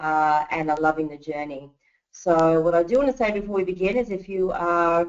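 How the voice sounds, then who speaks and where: Her pitch varies in an ordinary way as a woman talks with an Australian accent. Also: fairly low pitch for a woman, moderate pace. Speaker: network marketing presenter. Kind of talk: webinar training presentation. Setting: online webinar call.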